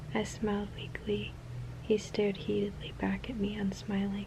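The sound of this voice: What comes through is an unforced reading voice.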